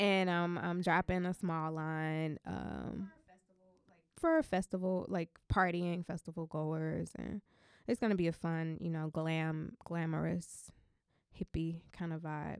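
With an American accent and a normal speaking voice, a woman speaks at a fairly slow pace in a fairly low pitch with fairly even intonation, in a dry, close sound with no echo. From US South. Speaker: DJ. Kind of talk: interview.

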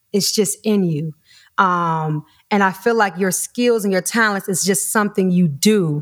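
At a fairly slow pace, a woman with an American accent speaks at a medium pitch with ordinary variation, in a very clean recording with a silent background. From US Midwest. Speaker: voice actor. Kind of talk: casual interview.

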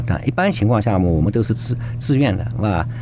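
A fairly low-pitched man at a very fast pace with very wide pitch swings, amid noticeable background noise. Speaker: youth activity center representative. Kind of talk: radio interview. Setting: studio. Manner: halting.

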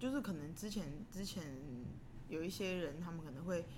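Audible room echo and noticeable background noise surround this woman as she talks. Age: 30s. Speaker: singer and band frontwoman. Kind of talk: casual interview.

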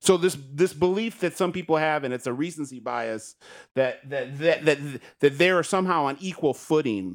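In a very clean recording with a silent background, a man with a normal speaking voice talks at a moderate pace, using lively intonation and a fairly high pitch. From Michigan. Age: 40s. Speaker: author. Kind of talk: casual chat.

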